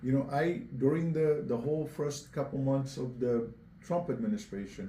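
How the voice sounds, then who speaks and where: In a Portuguese accent, a man with a fairly high voice speaks at a moderate pace with lively intonation, with audible room echo around him. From Angola (born Cape Verde). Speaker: mayoral candidate. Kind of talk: interview.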